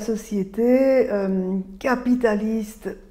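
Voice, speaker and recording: Speaking with a Belgian accent, a woman uses fairly even intonation in a dark, mellow tone. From Belgium. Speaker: author and speaker on mental load. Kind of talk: talk to camera. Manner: hesitant, with frequent filler sounds.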